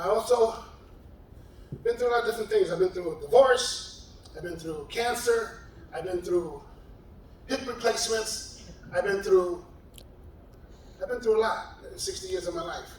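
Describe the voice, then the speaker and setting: A man's high-pitched voice with a New York accent at a moderate pace, with big swings in loudness and long, frequent pauses, amid noticeable background noise and audible room echo. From New York City, South Bronx. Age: 60s. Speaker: retired correctional officer. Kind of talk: personal testimony. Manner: halting, repeats words.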